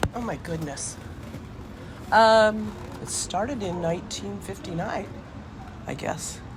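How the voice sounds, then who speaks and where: Pausing long and often, a woman with an American accent speaks very slowly with lively intonation over noticeable background noise. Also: medium pitch for a woman. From Lafayette, California. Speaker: car enthusiast and rebuilder. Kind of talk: oral history interview answer.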